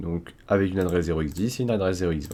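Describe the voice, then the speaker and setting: This is a man speaking. He has a French accent. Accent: self-described poor English pronunciation. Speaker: cybersecurity tutorial youtuber. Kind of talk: screen-recorded coding tutorial. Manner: casual, with fillers and restarts.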